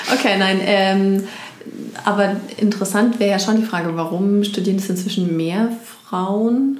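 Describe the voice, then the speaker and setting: A woman speaks at medium pitch and a moderate pace, with fairly even intonation and long, frequent pauses. Room echo is audible, and background noise is noticeable. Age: middle-aged. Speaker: pastor. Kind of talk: casual chat.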